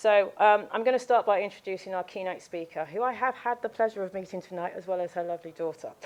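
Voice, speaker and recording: At a very fast pace with hardly any pauses, a woman in a British accent speaks at medium pitch with ordinary pitch variation. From UK. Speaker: company lawyer introducing speaker. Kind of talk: event introduction. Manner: hesitant, many fillers.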